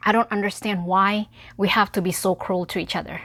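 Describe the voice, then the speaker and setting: A woman with a non-native accent speaks in a very clean recording against a silent background. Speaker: community organizer. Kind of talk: personal appeal vlog.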